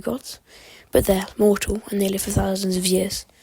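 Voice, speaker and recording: Her intonation flat and monotone, a woman speaks at a fairly quick pace and medium pitch. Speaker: amateur history YouTuber. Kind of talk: unscripted educational monologue. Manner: halting, occasional stutter; rambling, casual.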